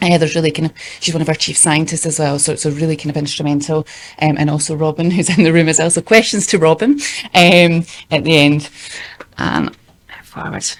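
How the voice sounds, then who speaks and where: With long, frequent pauses, a woman of very deep, low pitch speaks at a fairly quick pace in fairly even intonation, her loudness swinging widely. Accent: Scottish. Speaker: youth engagement worker. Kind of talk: conference presentation. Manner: fast.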